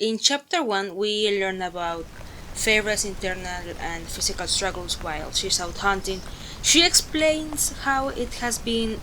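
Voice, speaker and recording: Over noticeable background noise, a woman with a Spanish accent speaks at a fairly slow pace in a medium pitch, her intonation lively. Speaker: book vlogger. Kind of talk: casual book review monologue.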